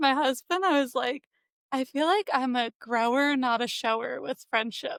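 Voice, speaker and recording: The audio is dry and close, with no echo. A woman talks at a moderate pace, her intonation lively. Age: 30s. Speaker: podcast co-host. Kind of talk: casual chat.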